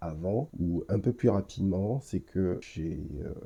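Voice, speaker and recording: A man speaks at a fairly slow pace in a fairly low, somewhat breathy voice with ordinary pitch variation over a quiet background. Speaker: podcast host. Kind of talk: solo podcast review. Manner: hesitant, many filler sounds.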